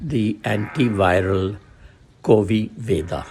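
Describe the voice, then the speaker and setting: The man talks at a very slow pace. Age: 80s+. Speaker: retired journalist. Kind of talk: testimony. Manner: halting, with frequent fillers.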